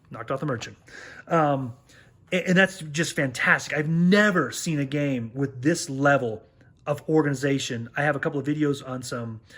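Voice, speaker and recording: Moderate pace and a fairly high pitch from a man, with ordinary variation in pitch. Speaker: board game youtuber. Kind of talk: video review. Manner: louder when excited; casual with many fillers.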